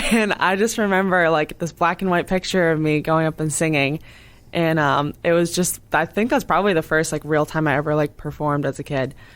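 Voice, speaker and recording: With an American accent and a very deep, low pitch, a woman speaks at a fairly quick pace with ordinary pitch variation and very even loudness, on a very clean recording with a silent background. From Massachusetts, Cape Cod. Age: 20s. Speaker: singer-songwriter. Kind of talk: interview. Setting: radio studio.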